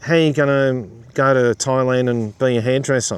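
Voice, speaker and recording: Here a man talks at a medium pitch. He has an Australian accent. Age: 50s. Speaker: YouTuber. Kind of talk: casual commentary monologue.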